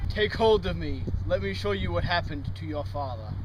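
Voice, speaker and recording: A man does a put-on character voice at a fairly quick pace. Loud background noise runs underneath. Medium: stage play. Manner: insistent, creepy.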